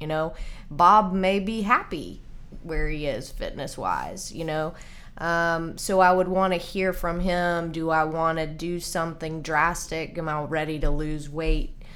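A woman talks at a fairly slow pace with a fairly low pitch. Her intonation stays fairly even, and the room echo is audible. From Nashville, Tennessee. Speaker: nutrition and fitness coach. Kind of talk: casual interview.

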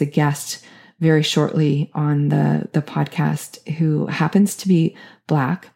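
This woman's voice has a very deep, low pitch with a dark, mellow tone. She speaks at a fairly slow pace. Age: 50s. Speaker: podcast host and leadership coach. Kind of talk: solo podcast monologue. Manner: halting, frequent fillers.

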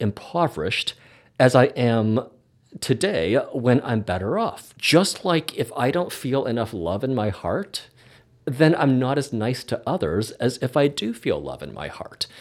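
A man's medium-pitched voice with vocal fry and a Canadian accent, at a fairly slow pace with very wide pitch swings, on a very clean recording with a silent background. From Canada. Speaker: podcast host and hypnotherapist. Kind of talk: casual chat.

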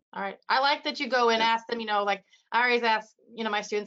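Speaking at a very fast pace with a Midwestern US accent, a woman keeps her fairly high pitch in fairly even intonation. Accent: US Midwest. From Iowa, US Midwest. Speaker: radiography educator. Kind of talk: casual interview.

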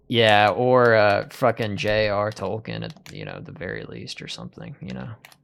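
Loudness jumps up and down a lot in this man's speech. His tempo is moderate. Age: 20s. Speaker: podcast host. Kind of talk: casual chat. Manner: animated, joking.

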